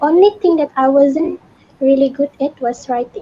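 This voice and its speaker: Moderate in pace, a woman with high pitch and ordinary pitch variation is heard in a dry, close sound with no echo. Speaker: former student. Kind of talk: Q&A session.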